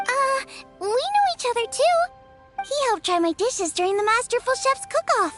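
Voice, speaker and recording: A woman performs a put-on character voice at an extremely high pitch with very wide pitch swings and a moderate pace. Loud music plays in the background. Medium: video game.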